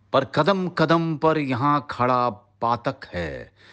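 Against a quiet background, a man speaks with vocal fry. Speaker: actor. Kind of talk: poetry reading.

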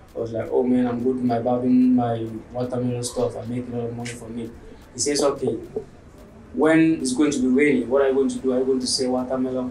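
A man's very fast, monotone delivery with flat intonation, audible room echo and light background noise. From Cameroon, Limbe (anglophone southwest). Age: 20s. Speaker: barber. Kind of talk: interview monologue. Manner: hesitant, many fillers. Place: home room.

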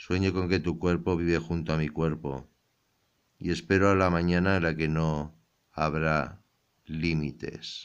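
Very deep and low in pitch, a man's voice moves at a fairly slow pace with very even loudness and monotone, flat intonation. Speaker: ASMR poetry reader. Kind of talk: poetry reading, ASMR-style, intimate and sensual. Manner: slow, soft-spoken, hushed and unhurried.

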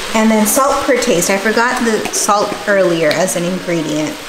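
Clear music plays in the background while the speaker goes at a fairly slow pace. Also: woman. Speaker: home cook host. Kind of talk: tutorial. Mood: relaxed, friendly. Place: kitchen.

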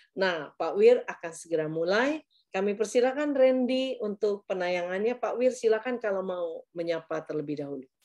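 Over a quiet background, a woman speaks at a moderate pace with very wide pitch swings. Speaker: webinar moderator. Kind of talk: webinar moderation. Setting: video call. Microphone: video call.

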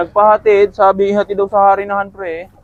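There is noticeable background noise behind this man. He speaks at a fairly quick pace in a high pitch. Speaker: street food vendor and vlogger. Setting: outdoors at a roadside stall near a school. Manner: fast, loud and upbeat, rattling off orders and prices, cheerful banter with customers.

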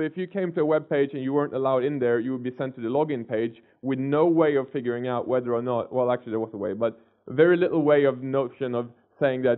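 A man speaks very fast over a quiet background, with ordinary pitch variation. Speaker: conference speaker. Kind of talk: lecture. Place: hall. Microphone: headset.

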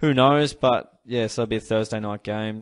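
A man speaking at a moderate pace in an Australian accent. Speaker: AFL fan channel host. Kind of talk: solo sports review vlog. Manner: casual, hesitant with many fillers.

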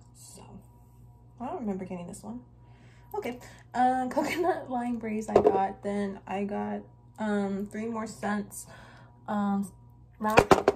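Over loud background noise, a woman speaks very slowly with long, frequent pauses, big swings in loudness and ordinary pitch variation. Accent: American. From California. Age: 20s. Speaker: YouTuber. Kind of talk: product haul vlog. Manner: casual, hesitant with frequent ums. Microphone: phone near.

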